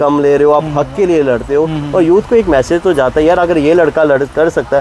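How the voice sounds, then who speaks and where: An ordinary speaking voice from a man, fairly high in pitch, with ordinary pitch variation and very even loudness. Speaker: podcast host. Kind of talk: interview question.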